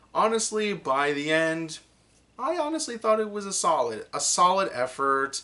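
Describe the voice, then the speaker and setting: A man raises and projects his bright, sharp, high-pitched voice, swinging very widely in pitch. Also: moderate pace. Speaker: anime reviewer. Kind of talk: unscripted video review. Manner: halting, many fillers and restarts.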